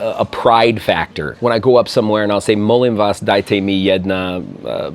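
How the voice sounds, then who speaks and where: A man at medium pitch is heard against noticeable background noise. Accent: American. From US Midwest. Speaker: YouTuber and expat. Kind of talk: interview. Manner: animated.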